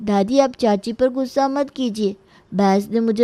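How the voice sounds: The voice here is a natural reading voice. That is how it sounds from start to finish.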